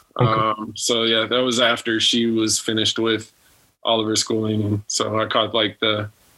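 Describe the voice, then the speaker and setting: A man's fairly low, bright, sharp voice with an American accent, in monotone, flat intonation at a moderate pace. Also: very even loudness. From Texas. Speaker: spouse of a medical trainee. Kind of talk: casual chat.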